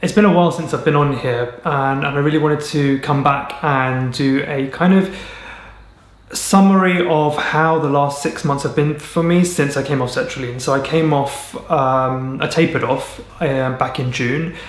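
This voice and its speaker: A man with a fairly high pitch and fairly even intonation speaks over noticeable background noise. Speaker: mental health vlogger. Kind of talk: casual talk to camera. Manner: rambling, slow.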